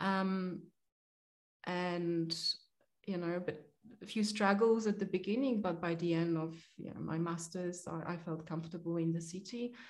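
A woman's fairly low voice in a Polish accent, with fairly even intonation at a moderate pace. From Poland. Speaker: agricultural accountant. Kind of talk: interview. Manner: hesitant, many fillers.

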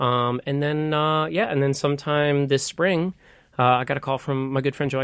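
Speaking at a moderate pace with fairly even intonation, a man with a fairly high pitch is heard in a very clean recording with a silent background. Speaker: stage actor. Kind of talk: casual interview chat. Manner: halting, filler-heavy.

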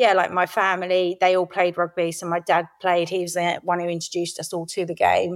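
A woman with a southeast English accent, fairly low in pitch, monotone and flat, at a fairly quick pace with hardly any pauses. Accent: south-east English. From Kent, south-east England. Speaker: former rugby player. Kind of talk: interview.

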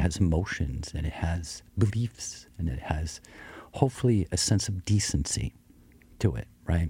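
Lively intonation runs through a man's very deep, low voice, which has vocal fry and a dark, mellow tone. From US small town. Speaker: coffee company CEO. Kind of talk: radio interview. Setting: studio.

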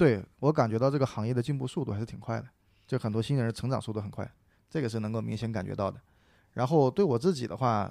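A man speaks at a very fast pace with a medium pitch and ordinary pitch variation. His tone is dark and mellow, in a very clean recording with a silent background. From Sichuan, China. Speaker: stand-up comedian. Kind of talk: casual chat about comedy.

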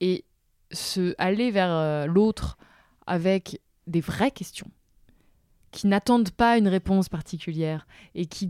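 A woman's medium-pitched voice has a dark, mellow tone and a dry, close sound with no echo. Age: 20s. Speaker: journalist and author. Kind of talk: interview conversation.

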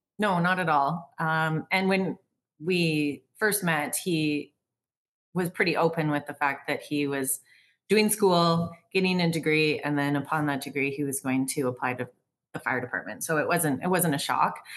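A woman's very deep, low voice with a Canadian accent, ordinary pitch variation and a moderate pace. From Canada, Vancouver North Shore. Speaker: photographer and business owner. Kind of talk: casual chat.

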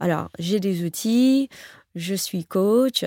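An English accent at a very slow pace, with lively intonation and a dry, close sound with no echo. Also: woman. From US, New York. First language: English (speaking French). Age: 40s. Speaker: professional coach. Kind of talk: interview conversation. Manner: halting, many repetitions.

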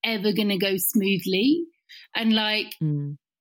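A woman's voice swings very widely in pitch. It is somewhat breathy. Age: 40s. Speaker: talent manager and coach. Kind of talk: casual chat.

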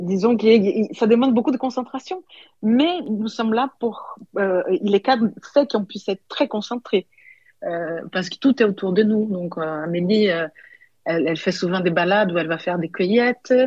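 Somewhat breathy and with lively intonation, a woman speaks with long, frequent pauses in a dry, close sound with no echo. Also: fairly high pitch for a woman, moderate pace. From Brazil (São Paulo). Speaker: sommelier and restaurant co-owner. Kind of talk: interview. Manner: halting, many hesitations.

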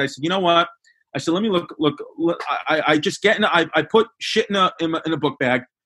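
A man's fairly high voice with a Brooklyn accent, very fast, bright and sharp in tone, with ordinary pitch variation. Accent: Brooklyn New York. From New York (Bay Ridge, Brooklyn). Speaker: comedian. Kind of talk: casual chat.

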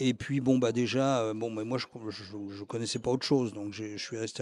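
On a very clean recording with a silent background, the voice has a dark, mellow tone and ordinary pitch variation. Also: man. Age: 70s. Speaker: retired activist for end-of-life rights. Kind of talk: interview testimony. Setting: café.

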